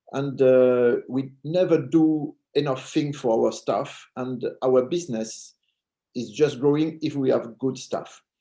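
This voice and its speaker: A very slow delivery in a dark, mellow tone with fairly even intonation. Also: man, fairly high pitch for a man. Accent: French. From France. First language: French. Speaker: jury member, hospitality industry. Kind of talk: award announcement on video call. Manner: halting.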